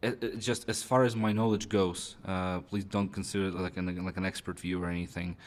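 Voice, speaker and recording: A man with a Russian accent speaks with a very deep, low pitch and fairly even intonation. The recording is very clean, with a silent background. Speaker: Russian embassy representative. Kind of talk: interview. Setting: in-person interview at embassy. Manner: halting, many fillers and repetitions.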